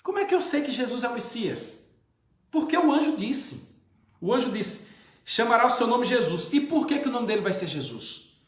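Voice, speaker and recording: Over noticeable background noise and audible room echo, the speaker talks at a fairly quick pace with very wide pitch swings. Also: man, extremely high pitch for a man. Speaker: deacon, preacher. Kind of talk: livestream bible teaching. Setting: live stream.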